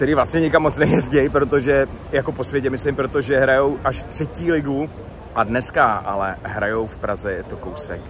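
There is noticeable background noise as a man speaks with ordinary pitch variation and big swings in loudness in a dry sound with no echo. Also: moderate pace. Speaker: football fan vlogger. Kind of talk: casual vlog chat. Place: street. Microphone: phone near.

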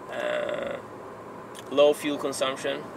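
The sound is dry with no echo, and there is noticeable background noise. A man is speaking. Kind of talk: casual vlog chat. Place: car. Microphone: camera far.

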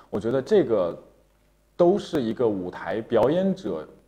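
With a dark, mellow tone, a man talks at a fairly slow pace while his pitch swings very widely. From Shandong, China. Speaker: opera singer. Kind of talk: interview. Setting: studio livestream. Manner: many filler sounds. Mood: polite, earnest. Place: studio.

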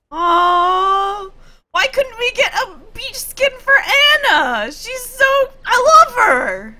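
Projecting a raised voice at an extremely high pitch, a woman speaks very slowly in a bright, sharp tone, her intonation lively and her loudness swinging widely. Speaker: gaming streamer. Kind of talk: gameplay commentary. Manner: animated.

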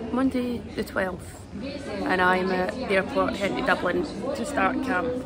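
A woman at a moderate pace with ordinary pitch variation, crowd noise in the background. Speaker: athlete vlogger. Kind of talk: casual vlog chat. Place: station. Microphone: phone near.

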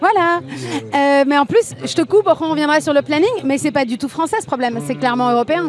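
With light background noise behind her, a woman speaks at a fairly quick pace in a high pitch, and the sound is dry with no echo. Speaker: activist TV show host. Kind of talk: casual interview. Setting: outdoor street studio. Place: street. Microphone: handheld.

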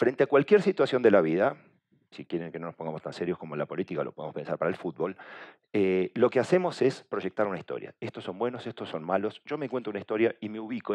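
Lively intonation marks this man's speech. He talks at a very fast pace over a quiet background. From Argentina. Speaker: communication agency director, conference speaker; conference speaker. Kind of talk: conference talk. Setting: stage with audience. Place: hall. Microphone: headset.

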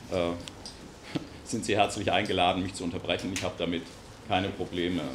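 A man speaks over noticeable background noise. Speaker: guest lecturer. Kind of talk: lecture. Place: meeting room. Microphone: camera far.

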